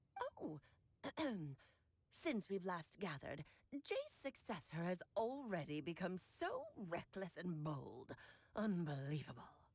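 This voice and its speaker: A woman puts on a character voice with a fairly low pitch. She goes at a fairly slow pace, leaving long, frequent pauses. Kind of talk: archaic, formal.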